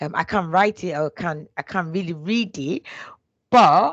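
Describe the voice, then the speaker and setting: A woman with a Nigerian accent speaks at a moderate pace with ordinary pitch variation. The background is quiet. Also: dry, close sound with no echo. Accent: Nigerian (Yoruba) English. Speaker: HR business partner. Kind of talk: interview. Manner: hesitant, many fillers and restarts.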